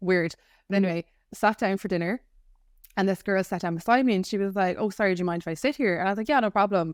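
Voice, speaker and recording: A woman speaks with an Irish accent at a fairly low pitch. The sound is dry and close with no echo, a very clean recording with a silent background. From Ireland. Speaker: podcast co-host. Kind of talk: casual chat. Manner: animated.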